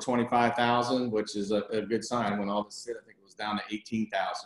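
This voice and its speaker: A man talks at a very fast pace. His pitch sits in the middle range. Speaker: commercial real estate advisor. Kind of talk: webinar presentation. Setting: video conference.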